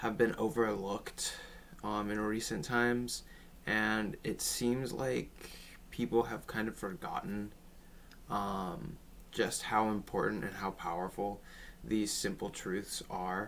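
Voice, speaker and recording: The speech moves at a very slow pace with long, frequent pauses. Intonation stays fairly even. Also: man, fairly low pitch for a man. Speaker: spiritual teacher. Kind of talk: casual talk to camera. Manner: some stuttering.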